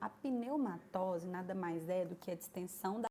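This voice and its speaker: This is a woman's voice at medium pitch. Her pitch varies in an ordinary way. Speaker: nursing teacher. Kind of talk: lecture. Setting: online class.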